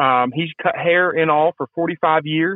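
A man with a Southern US accent speaks at a fairly slow pace. His voice is high, with fairly even intonation. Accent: Southern US (Georgia). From US South, Georgia (Marietta). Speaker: barber, deer hunter. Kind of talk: casual storytelling interview. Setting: phone call.

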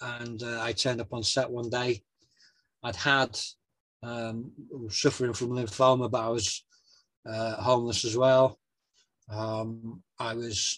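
With a Yorkshire accent, a man speaks fairly slowly at a medium pitch in a monotone, flat intonation. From northern England, West Yorkshire (near Wakefield). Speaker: actor, writer and author. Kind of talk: interview conversation.

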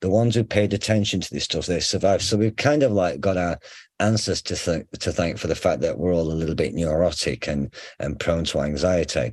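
Over a quiet background, a man with a very deep, low pitch speaks at a fairly quick pace with lively intonation. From northern England, Sheffield. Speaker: psychotherapy lecturer and researcher. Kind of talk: casual interview. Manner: informal, hesitant.

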